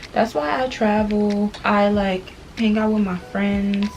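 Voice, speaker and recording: This is the voice of a woman. Background noise is noticeable throughout. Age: 20s. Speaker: beauty vlogger. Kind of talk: casual chat. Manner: casual, conversational.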